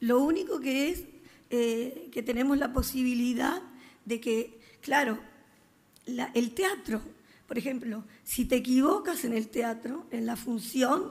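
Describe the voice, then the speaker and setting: A woman at a high pitch, very slow pace, ordinary pitch variation and long, frequent pauses. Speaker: guest. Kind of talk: interview answer. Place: stage. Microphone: podium.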